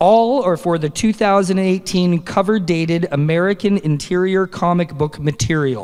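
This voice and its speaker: Speaking with a Canadian accent, a man uses a high pitch, ordinary pitch variation and a moderate pace with hardly any pauses. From Canada. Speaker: awards presenter. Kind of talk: awards ceremony presenting. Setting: stage with audience at comic convention.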